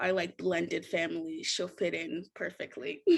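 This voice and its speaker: A woman with an American accent speaks at a moderate pace in a medium pitch, her tone bright and sharp and her intonation lively. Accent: sounds American rather than Kenyan. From US, Richmond, Virginia (moved from Kenya at 3). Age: 20s. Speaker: podcast guest, journalism graduate. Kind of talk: casual chat.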